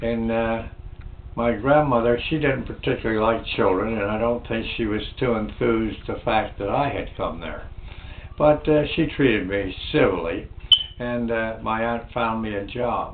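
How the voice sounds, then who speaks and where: Through noticeable background noise and audible room echo, a man speaks with an American accent. His pitch is medium, with ordinary variation, at a moderate pace. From New Jersey / Pennsylvania, US (Trenton area). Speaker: navy veteran. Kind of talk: oral history interview. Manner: halting, many fillers.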